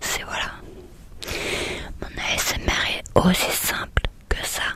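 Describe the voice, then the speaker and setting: Very slowly, a woman whispers while noticeable noise sounds behind her. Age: 30s. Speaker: ASMR creator. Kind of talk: ASMR talk to viewer. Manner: whispered.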